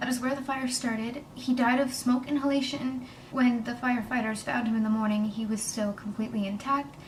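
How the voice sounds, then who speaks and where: A woman's high voice at a fairly quick pace, with fairly even intonation amid noticeable background noise and audible room echo. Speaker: vlogger. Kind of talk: personal testimony. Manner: emotional, hesitant.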